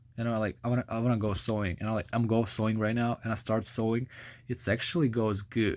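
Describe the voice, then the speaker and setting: On a very clean recording with a silent background, a man with a medium pitch talks at a fairly quick pace in a Ukrainian accent, his intonation fairly even. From Ukraine. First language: Ukrainian or Russian. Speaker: vlogger. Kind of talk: casual vlog monologue. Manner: halting, many fillers.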